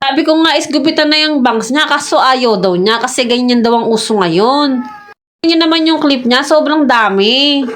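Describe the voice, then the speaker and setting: A high-pitched woman at a moderate pace, lively intonation, very even loudness and audible room echo. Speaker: vlogger. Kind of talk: voice-over vlog narration.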